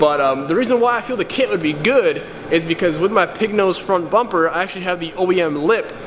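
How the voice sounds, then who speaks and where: A man speaks loudly and very fast, his voice high-pitched for a man with an animated tone and ordinary pitch variation. Noticeable background noise and audible room echo fill the recording. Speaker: car vlogger. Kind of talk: casual vlog tutorial. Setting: garage shop. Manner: loud, raised voice; casual, animated.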